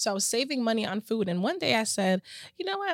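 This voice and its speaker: A woman speaks with a slight Jamaican accent. The sound is dry and close, with no echo. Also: very clean recording, silent background. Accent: American English with little Jamaican. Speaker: home healthcare business owner. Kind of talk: podcast interview. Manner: clear enunciation; laughs often.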